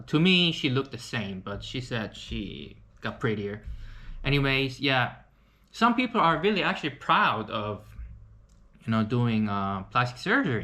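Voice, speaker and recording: Speaking with a Korean accent at a fairly slow pace, a man uses a medium pitch, a bright, sharp tone, and lively intonation. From South Korea. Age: 30s. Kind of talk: casual talk to camera.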